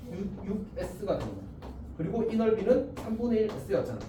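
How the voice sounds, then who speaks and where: A man speaks at a moderate pace. Noticeable background noise and audible room echo surround his voice. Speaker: math teacher. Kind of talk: lecture. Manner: casual, informal speech.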